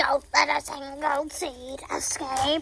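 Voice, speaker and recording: A put-on character voice speaks at a very slow pace. The pitch is high and the intonation monotone and flat. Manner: playful pretend voice.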